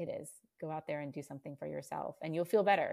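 Recorded very cleanly against a silent background, a woman with an American accent speaks at a fairly quick pace. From Virginia. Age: 40s. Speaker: stay-at-home mom and running coach. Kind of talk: casual interview chat.

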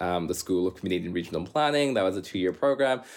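This man has a normal speaking voice, fairly low in pitch, with a Canadian accent and ordinary pitch variation. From Canada. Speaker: urban planner. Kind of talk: casual interview.

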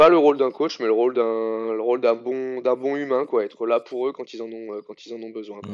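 An unremarkable speaking voice from a man at medium pitch, with fairly even intonation, hardly any pauses and big swings in loudness. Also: moderate pace. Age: 30s. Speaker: CrossFit coach. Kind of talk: casual interview.

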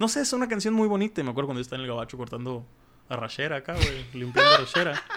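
The speaker is male. His voice sits at a medium pitch. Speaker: podcast host. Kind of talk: casual chat. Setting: studio.

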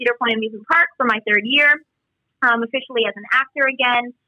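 Very fast pace from a woman with a high pitch and ordinary pitch variation. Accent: American. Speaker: musical theatre performer and substitute teacher. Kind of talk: casual interview.

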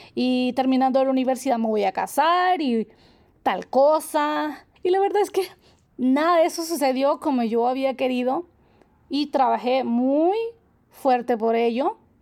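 Speaking at a fairly slow pace, a woman keeps a high pitch, ordinary pitch variation and very even loudness. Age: 30s. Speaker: holistic therapist and nutritionist podcast host. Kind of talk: reflective solo monologue. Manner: warm, gentle.

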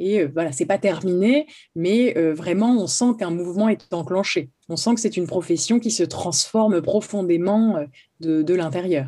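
Her intonation is lively, at a medium pitch for a woman. She speaks at a fairly slow pace against a quiet background. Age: 30s. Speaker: notary. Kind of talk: interview. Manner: halting, many repetitions.

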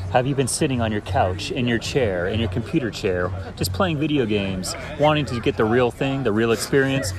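Over noticeable background noise, a man talks at a fairly quick pace with an American accent. His pitch is medium, with ordinary variation. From Florida, US. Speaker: podcast guest, digital artist. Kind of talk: casual chat. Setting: bar.

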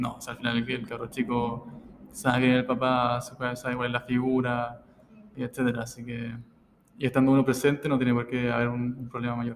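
Talking at a fairly quick pace, a man keeps a monotone, flat intonation. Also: medium pitch for a man. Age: 20s. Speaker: physiotherapist and father. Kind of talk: interview. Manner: reserved, not very expressive.

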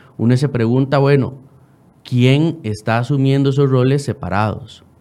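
Speaking at a moderate pace, a man with a Costa Rican accent has a fairly high pitch. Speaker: lawyer. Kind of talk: radio interview.

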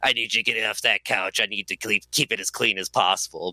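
In a put-on character voice, a man speaks raspy and fairly low at a fairly quick pace, with ordinary pitch variation and a dry, close sound with no echo. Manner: curt, bossy.

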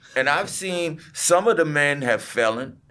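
A man speaks with an American accent in a plain, everyday voice. His intonation is lively and his pace fairly slow. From US, New York City (Southeastern Queens). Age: 50s. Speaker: construction business owner. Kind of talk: casual interview chat.

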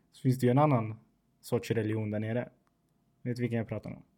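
A man's medium-pitched voice with a non-native accent and monotone, flat intonation. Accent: non-native Swedish. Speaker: podcast host. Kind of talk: casual chat.

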